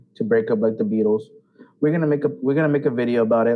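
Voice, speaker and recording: Here a man speaks with an animated tone and very wide pitch swings. His pitch sits in the medium range. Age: 20s. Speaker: podcast co-host. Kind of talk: casual chat.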